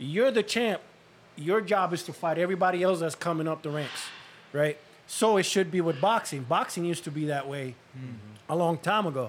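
This man's high-pitched voice, with ordinary pitch variation, runs along fairly quickly. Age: 40s. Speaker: cut man and boxing coach. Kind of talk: casual chat.

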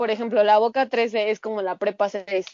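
At a fairly slow pace, a woman speaks in a plain, everyday voice with a medium pitch. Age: 20s. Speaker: pharmaceutical chemist. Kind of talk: casual chat.

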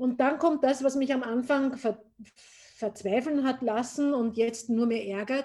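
A woman speaks at a fairly slow pace in a high voice with a dark, mellow tone and fairly even intonation. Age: 50s. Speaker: gin distiller. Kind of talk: casual interview. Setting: remote call.

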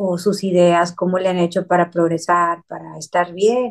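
A woman keeps a medium pitch and a monotone, flat intonation as she talks fairly slowly. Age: 50s. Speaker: psychotherapist. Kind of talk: interview.

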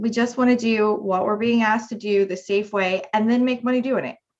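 A woman with an American accent has an ordinary speaking voice and a fairly high pitch. She talks at a fairly quick pace with fairly even intonation. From West Virginia. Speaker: political candidate and restaurant business owner. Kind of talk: interview.

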